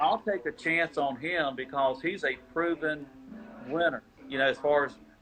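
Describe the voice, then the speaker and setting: A man's fairly high-pitched voice at a moderate pace, with music in the background. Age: 60s. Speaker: basketball scouting service founder. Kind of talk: interview. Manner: halting.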